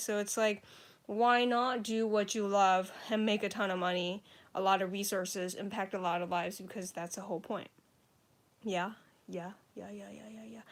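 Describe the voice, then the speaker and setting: A woman with an American accent speaks at a moderate pace. The recording is very clean, with a silent background. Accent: sounds American. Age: 20s. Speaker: author and comedian. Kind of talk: casual livestream chat. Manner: casual, filler-heavy.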